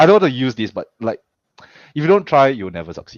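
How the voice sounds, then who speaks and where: Against a quiet background, a man with a medium pitch and vocal fry speaks at a very fast pace with very wide pitch swings, the sound dry and close with no echo. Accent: Singaporean. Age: 30s. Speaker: pro wrestler and coach. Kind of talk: casual interview chat. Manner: halting, frequent repetitions.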